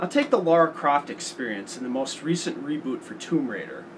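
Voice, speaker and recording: Very wide pitch swings come at a moderate pace against noticeable background noise. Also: man. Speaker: tech and gaming video host. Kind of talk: casual talk to camera.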